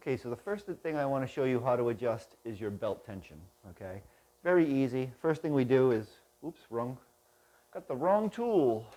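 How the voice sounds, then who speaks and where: At a moderate pace, a man with a dark, mellow tone and medium pitch makes very wide pitch swings. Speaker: product tutorial host. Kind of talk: tutorial. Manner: quiet, kept down.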